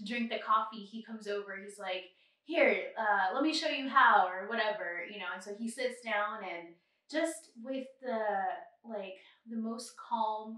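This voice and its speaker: In a normal speaking voice, a woman speaks fairly slowly at a fairly high pitch with ordinary pitch variation. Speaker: travel podcast co-host. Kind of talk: casual chat.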